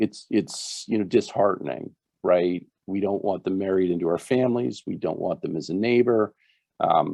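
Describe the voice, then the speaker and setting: A man's fairly low-pitched, normal speaking voice at a moderate pace with ordinary pitch variation. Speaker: physician presenter. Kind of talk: webinar presentation.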